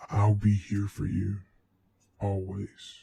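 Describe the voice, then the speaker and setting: Using a put-on character voice, a man sounds guttural, with a fairly low pitch and monotone, flat intonation. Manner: barking.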